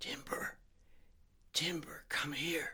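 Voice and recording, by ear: A man's hoarse whisper in a put-on character voice, at a slow pace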